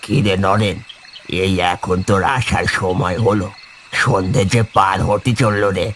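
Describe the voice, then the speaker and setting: Over clear background noise, a man does a cartoonish character voice, fairly low in pitch, fairly slow, with very even loudness and fairly even intonation. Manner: folksy, fatherly.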